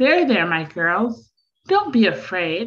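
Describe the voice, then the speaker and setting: In a put-on character voice, a woman speaks at a fairly slow pace and a fairly high pitch, with very wide pitch swings. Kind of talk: tender, comforting. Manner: soothing.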